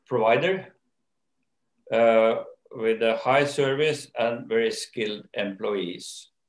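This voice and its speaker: A man with a Norwegian accent at a very slow pace, with long, frequent pauses, ordinary pitch variation, audible room echo and a quiet background. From Norway. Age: old. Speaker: company owner and chairman; interviewee. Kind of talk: interview. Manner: hesitant, many fillers. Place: home room. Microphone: video call.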